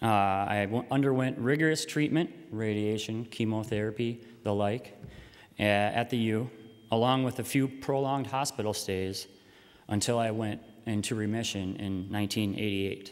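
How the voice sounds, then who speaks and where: Using an unremarkable speaking voice, a man with an American accent talks at a moderate pace and medium pitch. His intonation is fairly even. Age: 20s. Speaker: patient advocate. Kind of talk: public speech.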